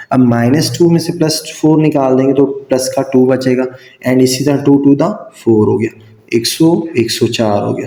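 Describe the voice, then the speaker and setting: Noticeable noise sits behind a man whose pitch varies in an ordinary way. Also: medium pitch for a man. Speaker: math teacher. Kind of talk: tutorial. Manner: slow.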